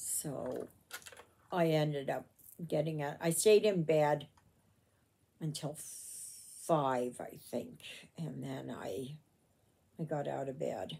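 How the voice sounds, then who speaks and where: A woman with a very deep, low pitch and ordinary pitch variation talks at a very slow pace, her dark, mellow tone touched by vocal fry. Her loudness swings widely, and long pauses come often. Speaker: crafter vlogger. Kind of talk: casual vlog chat. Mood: reflective, personal. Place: home room. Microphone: phone near.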